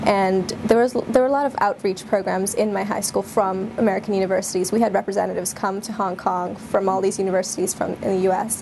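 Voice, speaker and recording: A woman at a very fast pace and medium pitch, fairly even intonation, hardly any pauses, and noticeable background noise. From India. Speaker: university undergraduate. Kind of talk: interview answer.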